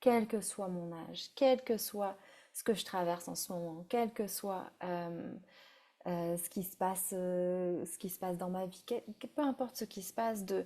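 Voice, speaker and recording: Recorded very cleanly against a silent background, a woman speaks fairly slowly with a medium pitch and a dark, mellow tone. Her pitch variation is ordinary, while her loudness swings widely. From France. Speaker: breathwork facilitator. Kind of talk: guided breathwork session. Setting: live stream. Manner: halting.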